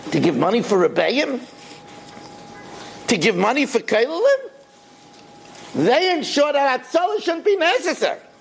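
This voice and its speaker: Pitch swings very widely while loudness stays very even, with long, frequent pauses and noticeable noise behind the voice. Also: man, extremely high pitch for a man. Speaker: rabbi teaching Torah class. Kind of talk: Torah lecture. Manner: fast.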